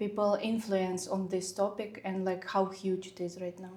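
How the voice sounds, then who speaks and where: Recorded with audible room echo, a woman with a non-native accent speaks at a medium pitch. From Ukraine. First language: not English. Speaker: designer. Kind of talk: casual interview. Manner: halting.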